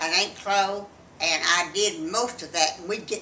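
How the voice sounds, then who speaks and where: A woman's medium-pitched voice in a Texan accent, at a moderate pace with ordinary pitch variation and audible room echo. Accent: Texan Southern US. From Texas. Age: 80s+. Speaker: grandmother interviewed by family. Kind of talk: casual family interview.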